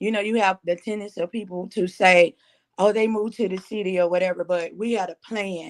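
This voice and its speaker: Speaking in a Southern accent at a fairly quick pace, a woman keeps a medium pitch and monotone, flat intonation, recorded with a dry, close sound and no echo. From Mississippi Delta. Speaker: musician. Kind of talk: interview.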